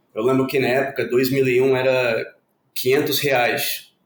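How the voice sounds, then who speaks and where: A man speaks at a medium pitch with flat, monotone intonation. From Puerto Rico. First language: Spanish (speaking Portuguese). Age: 40s. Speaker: former exchange student, community participant. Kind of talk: podcast interview.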